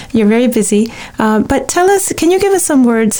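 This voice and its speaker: Noticeable background noise accompanies a woman talking at a moderate tempo. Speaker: radio host. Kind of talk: interview.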